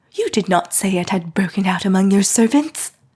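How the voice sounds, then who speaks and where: A woman does a put-on character voice that is shaky, medium in pitch, fairly quick, and ordinary in its pitch variation. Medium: read story.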